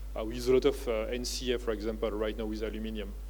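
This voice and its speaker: In a French accent, a man talks at a fairly quick pace, with audible room echo around him. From France (family from Uttar Pradesh, India). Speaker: business founder and professor. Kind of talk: keynote speech. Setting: conference stage with audience. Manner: hesitant, many filler words.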